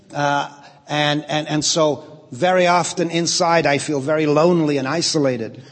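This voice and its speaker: With audible room echo, a man speaks at a moderate pace in a fairly high pitch with fairly even intonation. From England, Liverpool. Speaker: pastor and church leadership trainer. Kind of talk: lecture delivered through an interpreter. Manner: speaks in short segments paused for interpretation.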